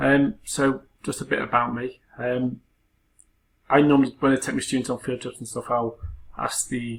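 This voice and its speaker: A man with a Liverpool accent, monotone and flat in intonation, at a moderate pace with long, frequent pauses. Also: medium pitch for a man. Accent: Scouse. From Liverpool, England. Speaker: university lecturer. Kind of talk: personal introduction talk. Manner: casual, hesitant with fillers.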